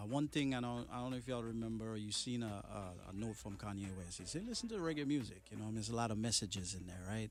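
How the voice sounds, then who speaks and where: Very fast speech with ordinary pitch variation over background music. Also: man. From Trinidad and Tobago. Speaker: reggae artist. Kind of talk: interview. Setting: studio.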